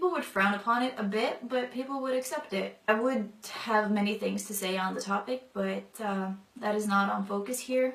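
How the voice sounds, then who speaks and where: Noticeable background noise sits behind a woman speaking at a moderate pace and medium pitch, with ordinary pitch variation. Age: 20s. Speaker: convert sharing her story. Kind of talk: testimony. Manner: casual, many fillers.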